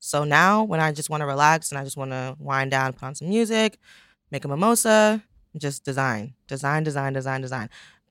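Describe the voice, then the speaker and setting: Very deep and low in pitch, a woman talks at a fairly quick pace with an American accent and lively intonation in a very clean recording with a silent background. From Pennsylvania, Poconos. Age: 20s. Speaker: fashion entrepreneur. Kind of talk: interview.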